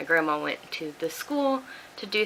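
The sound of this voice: The pace is fairly slow. The tone is bright and sharp. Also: woman.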